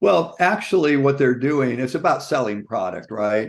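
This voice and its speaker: The speaker has a plain, everyday voice, with a moderate pace and ordinary pitch variation. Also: man. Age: 60s. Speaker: clinical nutritionist. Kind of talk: interview.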